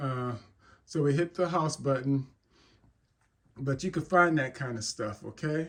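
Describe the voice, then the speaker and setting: Somewhat breathy and fairly high-pitched, a man speaks at a fairly slow pace with ordinary pitch variation. Long pauses come often. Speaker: tech tutorial YouTuber. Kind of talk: tutorial. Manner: casual, with fillers and repetitions.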